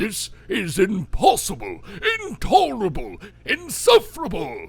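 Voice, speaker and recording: In a put-on character voice, a man talks at a high pitch and a fairly slow pace. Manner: gruff, exasperated.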